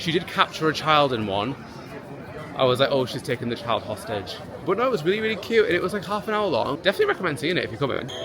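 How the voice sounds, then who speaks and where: Speech comes at a very fast pace with very wide pitch swings. Crowd noise sits in the background, and the room echo is audible. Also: man, fairly high pitch for a man. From Britain. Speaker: travel vlogger. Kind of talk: casual vlog chat. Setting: outdoors at theme park. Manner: animated.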